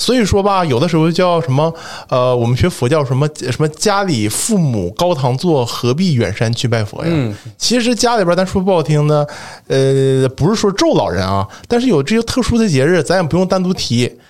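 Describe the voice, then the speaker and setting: Keeping his loudness very even, a man speaks at a moderate pace while his pitch swings very widely. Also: fairly high pitch for a man. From Northeast China. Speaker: religious studies PhD student. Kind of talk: casual chat.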